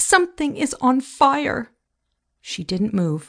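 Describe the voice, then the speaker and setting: Against a quiet background, a woman speaks in an animated, somewhat breathy tone, with very wide pitch swings. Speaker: audiobook narrator.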